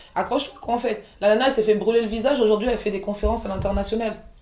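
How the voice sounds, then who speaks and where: Amid noticeable background noise and audible room echo, a woman with a fairly high voice speaks at a very fast pace in a flat monotone. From France, Paris region (Montreuil), born in Côte d'Ivoire. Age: 40s. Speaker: chef and caterer, entrepreneur. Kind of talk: interview, casual chat.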